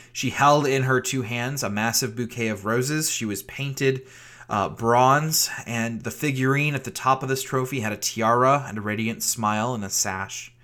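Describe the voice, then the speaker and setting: At a moderate pace, the bright, sharp voice keeps a fairly even intonation on a very clean recording with a silent background. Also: man, medium pitch for a man. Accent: American. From Virginia, US South. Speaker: pastor. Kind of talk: sermon.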